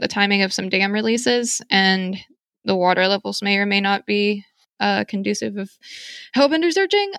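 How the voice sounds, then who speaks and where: A woman with an American accent talks at a fairly quick pace and medium pitch in a bright, sharp tone. The recording is very clean with a silent background and a dry, close sound with no echo. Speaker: podcast host, novice herper. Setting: at home packing, background noise. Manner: hyper, excited.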